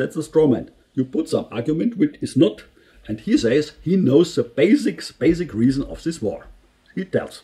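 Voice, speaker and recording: A man with a German accent talks at a moderate pace in a fairly high pitch, his dark, mellow tone ranging through very wide pitch swings. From Germany. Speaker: engineer and political commentary youtuber. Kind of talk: video commentary. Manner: halting, many fillers and restarts.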